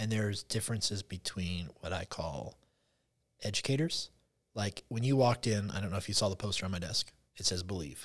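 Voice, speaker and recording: A man speaks at a fairly quick pace and fairly low pitch, with ordinary pitch variation. His voice is somewhat breathy on a very clean recording with a silent background. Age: 40s. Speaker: public school teacher. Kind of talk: casual chat.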